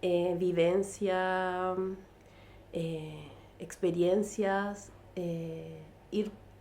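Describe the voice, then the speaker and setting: In a Chilean accent, a woman speaks very slowly at a medium pitch with a dark, mellow tone, monotone, flat intonation and long, frequent pauses, with audible room echo around her. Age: 40s. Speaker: artist and illustrator. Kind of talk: casual interview chat. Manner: halting, many fillers.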